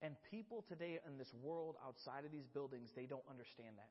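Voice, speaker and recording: A man speaks loudly. His pace is fairly quick. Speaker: church youth director preaching. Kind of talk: sermon. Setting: church service with congregation, microphone. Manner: halting, repetitive.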